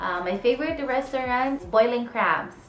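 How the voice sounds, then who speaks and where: A woman speaks in a Filipino accent with ordinary pitch variation. Audible room echo surrounds her voice. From Philippines. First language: Tagalog. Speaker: vlogger. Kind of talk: casual Q&A vlog.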